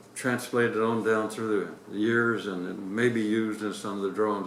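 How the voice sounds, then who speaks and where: A man with an American accent talks while noticeable noise fills the background. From Indianapolis, Indiana, USA. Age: 80s+. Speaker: retired navy captain, war veteran. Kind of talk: interview answer.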